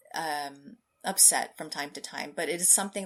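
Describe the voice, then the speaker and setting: A woman's very deep, low voice at a fairly slow pace, on a very clean recording with a silent background. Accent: American. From California, US. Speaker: scientist. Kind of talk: interview.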